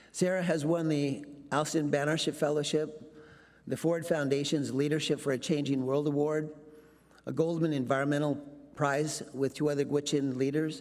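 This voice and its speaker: A man's fairly high-pitched voice, with fairly even intonation and a moderate pace, in audible room echo. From Alaska. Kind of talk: speech introduction. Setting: conference stage with audience.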